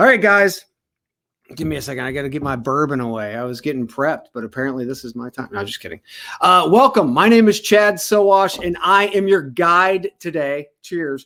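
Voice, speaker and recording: An animated man with an American accent talks at a fairly quick pace. His bright, sharp tone moves through very wide pitch swings. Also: fairly high pitch for a man, big swings in loudness. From United States. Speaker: panel moderator and podcast co-host. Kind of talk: panel moderation.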